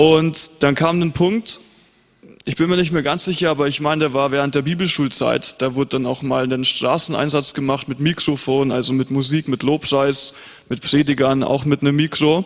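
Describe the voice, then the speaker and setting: A man's unremarkable speaking voice, fairly high in pitch, with fairly even intonation at a moderate pace. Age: young. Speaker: pastor. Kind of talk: panel discussion on stage.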